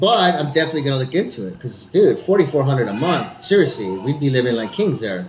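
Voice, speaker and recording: Talking at a very fast pace, a man with an American accent uses a fairly high pitch. His pitch swings very widely, over noticeable background noise. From Texas, El Paso. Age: 40s. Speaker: actor, podcast co-host. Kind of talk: casual chat.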